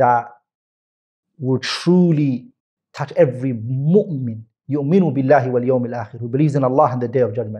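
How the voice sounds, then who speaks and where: Here a man speaks at a medium pitch with ordinary pitch variation and a moderate pace. His tone is dark and mellow, and somewhat breathy. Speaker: Islamic teacher giving a lesson. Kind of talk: religious lecture in English with Arabic quotations.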